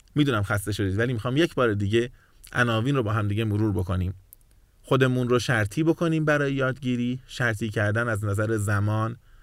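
A man's medium-pitched voice moves with ordinary variation. He speaks very fast. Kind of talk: lecture.

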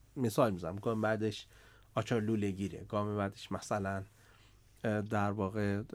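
An unremarkable speaking voice from a man, fairly low in pitch, at a moderate pace on a very clean recording with a silent background. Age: 40s. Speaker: startup CEO and investor. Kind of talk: podcast interview.

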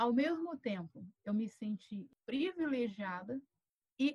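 Lively intonation at a very slow pace. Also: woman. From Rio de Janeiro state, Brazil (Volta Redonda). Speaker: pastor and professor. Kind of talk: casual interview chat.

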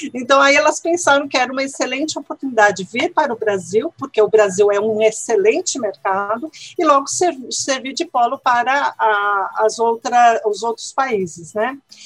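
With music in the background, a woman speaks at a high pitch and a moderate pace, her intonation lively. The sound is dry and close with no echo, and there are hardly any pauses. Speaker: Spanish language teacher and researcher. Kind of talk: interview.

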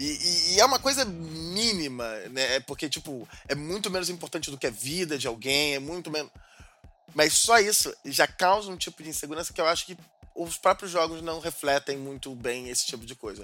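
Music plays in the background as a man speaks in a fairly high pitch with lively intonation. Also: moderate pace, big swings in loudness. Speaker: podcast co-host. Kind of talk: casual chat.

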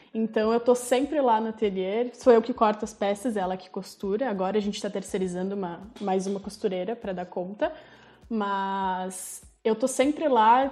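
This woman talks at a moderate pace with a dark, mellow tone and ordinary pitch variation. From Rio Grande do Sul, Brazil (Farroupilha). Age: 20s. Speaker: small business owner, lingerie maker. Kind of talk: casual interview chat.

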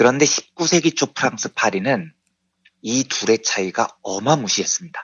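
In a plain, everyday voice, a man talks at a moderate pace and medium pitch with lively intonation. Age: 40s. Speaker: economics journalist. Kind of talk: explanatory talk. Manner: laughs often.

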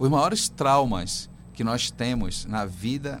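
There is vocal fry in this voice. The speaker is a man. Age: 50s. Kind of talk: radio interview. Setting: radio studio.

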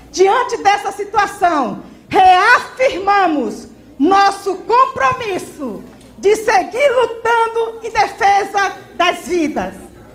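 Over noticeable background noise and audible room echo, a woman talks very slowly at an extremely high pitch with lively intonation. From Brazil, Maranhão. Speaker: social movement activist. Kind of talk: reading aloud.

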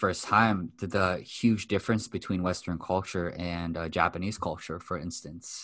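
A very deep-voiced man with an American accent, fairly even intonation, moderate pace, quiet background. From US West Coast, Los Angeles. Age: 30s. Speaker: mindset coach. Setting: video call.

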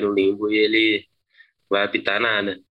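The man's pitch is fairly low. He talks at a fairly slow pace. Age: 20s. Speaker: bicycle delivery worker. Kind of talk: interview testimony. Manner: halting, many repetitions and fillers.

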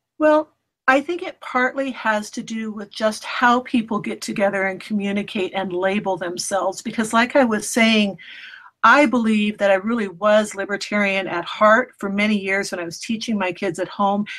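Speaking at a moderate pace in medium pitch, a woman has an ordinary speaking voice. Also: ordinary pitch variation. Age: 50s. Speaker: homeschooling mother and blogger. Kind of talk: interview conversation.

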